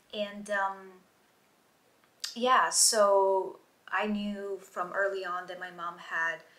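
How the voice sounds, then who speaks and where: A woman talks very slowly with long, frequent pauses, flat monotone intonation and big swings in loudness, amid noticeable background noise. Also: medium pitch for a woman. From southern Italy, Gallipoli; moved to US at 12. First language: Italian. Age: 30s. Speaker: YouTuber. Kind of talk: storytelling vlog. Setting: outdoors. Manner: hesitant, many fillers.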